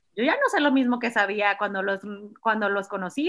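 Pitch varies in an ordinary way. The pace is fairly quick. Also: woman. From Mexico, Culiacán, Sinaloa. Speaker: pediatrician. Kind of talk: casual chat.

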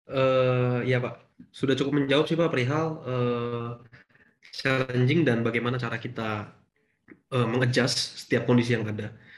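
The pace is moderate. A man talks with monotone, flat intonation. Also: medium pitch for a man. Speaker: workshop participant. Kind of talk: group discussion. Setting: video call.

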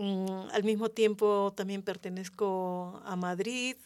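A woman's medium-pitched voice, monotone and flat, at a very slow pace. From Peru. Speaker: community member, former intercultural mediator. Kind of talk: radio roundtable discussion. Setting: radio studio.

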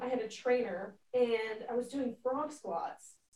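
Speaking with an American accent, a woman's voice sits high in pitch. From Pennsylvania. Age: 20s. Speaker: college lacrosse goalie. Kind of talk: casual interview chat.

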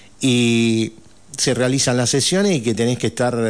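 A man with a plain, everyday voice talks at a fairly slow pace. The background is quiet. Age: 60s. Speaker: provincial legislator. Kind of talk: radio interview. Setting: radio studio.

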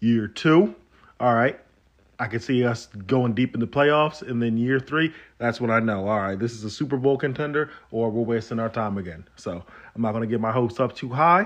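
A man's animated voice at medium pitch over a quiet background. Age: 30s. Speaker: sports podcast host. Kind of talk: casual solo sports commentary.

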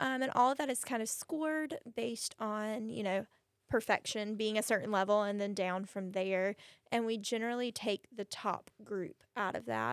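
A woman with an unremarkable speaking voice and fairly high pitch talks at a moderate pace with ordinary pitch variation, recorded dry and close with no echo. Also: very clean recording, silent background. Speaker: cheerleading coach and math teacher. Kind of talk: casual interview chat.

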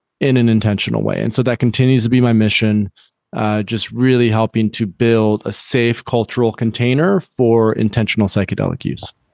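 With a General American accent, a man talks at a fairly quick pace in a normal speaking voice, medium in pitch and with fairly even intonation. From US Midwest, West Michigan. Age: 30s. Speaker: psychedelics company founder. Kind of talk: interview. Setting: outdoors in backyard, remote call.

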